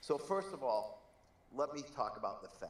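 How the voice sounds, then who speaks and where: A man keeps a moderate tempo while noticeable background noise and audible room echo surround his words. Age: 60s. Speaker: banker. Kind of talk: panel discussion. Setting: group call.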